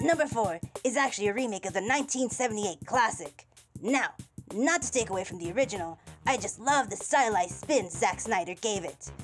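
A female-sounding cartoonish character voice runs at a fairly quick pace with a fairly high pitch. Faint music sits in the background. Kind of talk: countdown list talk to camera. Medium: puppet.

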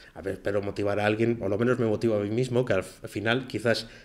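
On a very clean recording with a silent background, a man speaks at a medium pitch in a monotone, flat delivery. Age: 40s. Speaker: podcast host, freelance web developer. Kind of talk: solo podcast monologue. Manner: casual, with filler hesitations.

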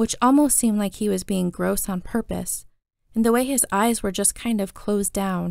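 A natural reading voice with ordinary pitch variation sounds over a quiet background.

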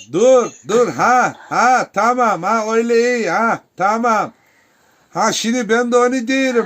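The man's voice sits at an extremely high pitch. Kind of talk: casual family chat for camera.

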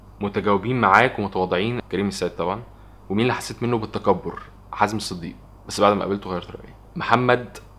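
Very fast speech comes from a man. The pitch sits fairly low. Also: fairly even intonation. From Egypt. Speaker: vlogger. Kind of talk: casual Q&A vlog. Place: home room.

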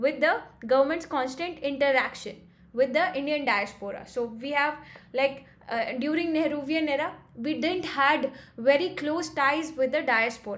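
The woman's voice sits at a high pitch with ordinary pitch variation. Her pace is moderate. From India. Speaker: exam coach; exam prep lecturer. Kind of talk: lecture. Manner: hesitant with frequent fillers. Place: home room. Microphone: webcam.

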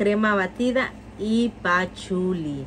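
Very slow speech from a woman, its pitch varying in an ordinary way. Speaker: perfume reviewer. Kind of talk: product review. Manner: animated.

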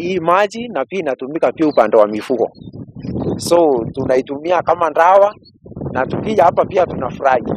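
A man speaks with a high pitch over noticeable background noise. The sound is dry, with no echo. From Kenya, Meru; Kenya. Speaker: pastor. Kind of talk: interview explanation. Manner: halting, with repetitions. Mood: cheerful, smiling. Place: open country. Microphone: handheld.

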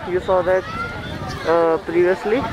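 The pace is fairly slow, and the sound is dry with no echo but carries noticeable background noise. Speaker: travel vlogger. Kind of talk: casual vlog narration. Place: garden. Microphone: phone near.

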